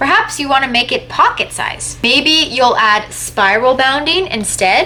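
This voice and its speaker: A woman with a Canadian accent and lively intonation at a moderate pace, against noticeable background noise. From Canada. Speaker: YouTuber giving writing and publishing tips. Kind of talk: tutorial.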